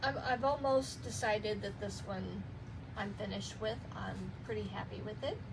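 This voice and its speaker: A woman's moderately paced speech carries audible room echo. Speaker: journaling vlogger. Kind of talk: casual chat. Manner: stammering.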